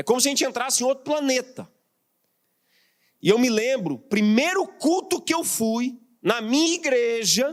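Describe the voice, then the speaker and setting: The speech moves at a moderate pace with lively intonation. Long, frequent pauses break it up. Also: man, extremely high pitch for a man. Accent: Mato Grosso. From Mato Grosso, Brazil. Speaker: pastor and missionary. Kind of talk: sermon. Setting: church.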